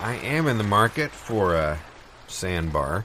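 In a put-on character voice, a man speaks at a fairly low pitch and fairly slow pace, with a bright, sharp tone and big pitch swings.

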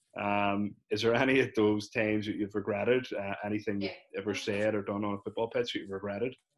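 With a Northern Irish accent, a man talks at a very fast pace with hardly any pauses, his fairly low voice monotone and flat. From Northern Ireland. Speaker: podcast host. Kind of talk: casual interview. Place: home room. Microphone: video call.

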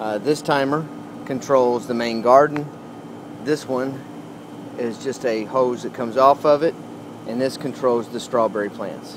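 Fairly slow, fairly even speech, dry with no echo, over noticeable background noise. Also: man. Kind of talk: casual tutorial. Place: garden. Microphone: phone near.

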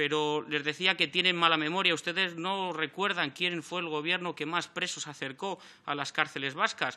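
Intonation holds fairly even. A bright, sharp tone comes through. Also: man, high pitch for a man, moderate pace, hardly any pauses. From Spain. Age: 30s. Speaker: member of parliament. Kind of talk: parliamentary speech. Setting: parliament chamber. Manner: formal. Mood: combative, reproachful. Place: meeting room. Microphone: podium.

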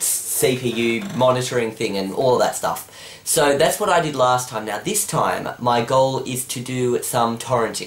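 Audible room echo surrounds a man who speaks at a fairly slow pace with ordinary pitch variation. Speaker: tech vlogger. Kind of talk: casual vlog chat.

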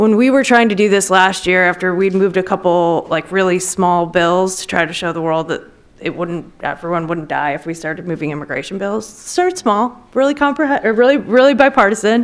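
A woman talking at a fairly quick pace, lively in intonation, with hardly any pauses. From Wisconsin, US Midwest. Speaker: former congressional policy aide, lobbyist; panelist. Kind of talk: panel discussion. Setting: stage with audience. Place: hall. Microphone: podium.

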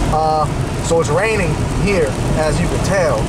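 Loud noise fills the background while a man talks. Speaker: vlogger driving. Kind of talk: casual vlog chat. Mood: irritated ranting about drivers. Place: car. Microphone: phone near.

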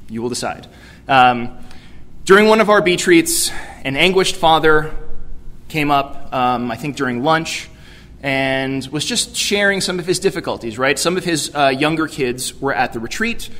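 A man with a plain, everyday voice, fairly high in pitch, with lively intonation, a moderate pace and an American accent. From New York City. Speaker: youth ministry director; keynote speaker. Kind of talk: keynote speech. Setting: conference stage with audience. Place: hall. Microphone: podium.

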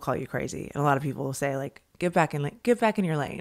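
Against a quiet background, a woman speaks at a fairly quick pace with lively intonation. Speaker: podcast host. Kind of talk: casual interview. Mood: thoughtful, engaged. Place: home room. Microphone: studio mic.

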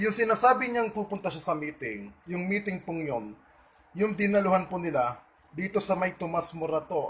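Fairly quick and high-pitched, a man's voice makes very wide pitch swings. Noticeable noise runs in the background. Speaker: online video blogger. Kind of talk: monologue to online audience. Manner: defiant.

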